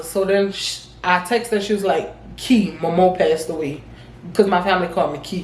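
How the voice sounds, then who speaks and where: Through noticeable background noise and audible room echo, a woman speaks at a medium pitch with ordinary pitch variation. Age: 20s. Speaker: vlogger. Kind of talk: casual storytime vlog. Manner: fast.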